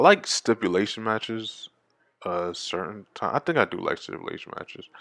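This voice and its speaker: Big swings in loudness mark this man's fairly quick speech, recorded with a dry, close sound and no echo. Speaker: wrestling show reviewer. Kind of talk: casual solo review. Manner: fast.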